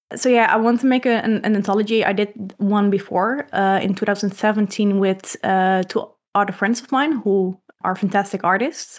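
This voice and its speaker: On a very clean recording with a silent background, a woman in a Dutch accent speaks at a moderate pace with very even loudness. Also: medium pitch for a woman, fairly even intonation. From Netherlands. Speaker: comic artist. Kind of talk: casual interview. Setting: live stream.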